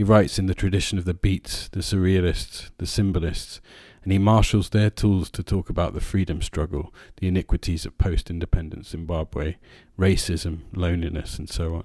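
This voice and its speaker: A man with a very deep, low voice talks at a moderate pace, somewhat breathy, with fairly even intonation. The recording is very clean, with a silent background. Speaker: podcast host and teacher. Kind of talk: casual literary discussion.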